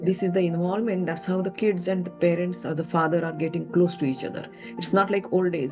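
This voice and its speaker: Music plays in the background. The speech is very fast, with fairly even intonation. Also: woman, fairly low pitch for a woman. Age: 70s. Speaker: mother-in-law. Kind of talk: interview answer.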